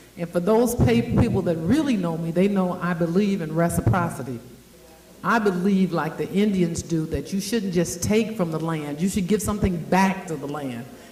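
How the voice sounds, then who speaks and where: With audible room echo and noticeable background noise, a woman with a fairly low pitch speaks at a moderate pace using lively intonation. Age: 60s. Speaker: event host and agency founder. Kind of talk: speech to a live audience. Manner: animated.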